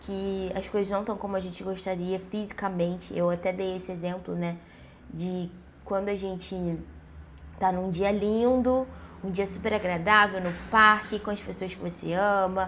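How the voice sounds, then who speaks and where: With audible room echo, a woman speaks at a medium pitch in a monotone, flat intonation and at a fairly slow pace. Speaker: vlogger. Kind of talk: casual vlog monologue. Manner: conversational, many fillers and hesitations.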